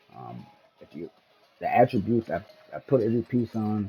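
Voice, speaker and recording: Music plays in the background as a man talks in an animated tone. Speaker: gaming YouTuber. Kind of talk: gameplay build walkthrough. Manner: casual, animated.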